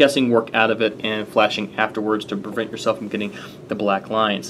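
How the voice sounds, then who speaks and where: A man talks at a fairly quick pace. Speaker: tech reviewer. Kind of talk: tutorial. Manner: fast; casual with fillers.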